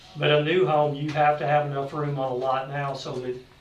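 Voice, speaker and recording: Fairly quick speech in a monotone, flat intonation comes with noticeable background noise and audible room echo. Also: man. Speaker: public health department director. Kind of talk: report to county officials at public meeting. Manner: fast.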